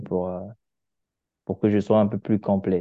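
Monotone, flat intonation from a man at a fairly low pitch, moving at a moderate pace. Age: 20s. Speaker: engineer. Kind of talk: casual chat.

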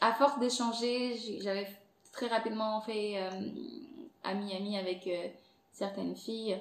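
Someone with an Angolan accent speaks at a fairly slow pace with fairly even intonation amid noticeable background noise. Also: woman. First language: Portuguese (speaking French). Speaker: content creator and podcast host. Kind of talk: casual interview chat.

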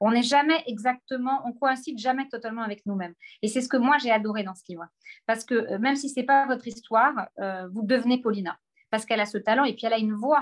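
Very fast and fairly high in pitch, a woman speaks with ordinary pitch variation and big swings in loudness. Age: 40s. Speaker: publishing director. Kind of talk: book presentation on a video call. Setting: video call from her office.

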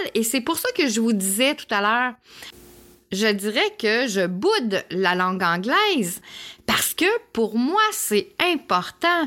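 Speaking at a very slow pace in a Quebec accent, a woman uses a fairly high pitch, a bright, sharp tone and very wide pitch swings. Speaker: podcast host and holistic therapist. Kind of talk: personal storytelling monologue. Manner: hesitant with fillers.

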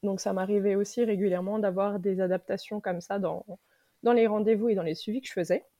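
This woman has a normal speaking voice and a medium pitch. She talks at a fairly quick pace with fairly even intonation. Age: 30s. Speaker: sophrologist and nurse. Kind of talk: casual interview.

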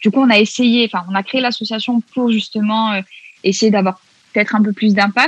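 A woman speaks at a moderate pace in a fairly high, somewhat breathy voice with monotone, flat intonation. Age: 20s. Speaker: feminist activist and psychology student. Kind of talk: casual interview.

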